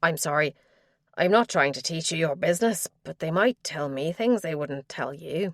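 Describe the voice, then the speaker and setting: A raspy put-on character voice talks at a moderate pace and middle pitch. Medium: read story. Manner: warm, eager to help.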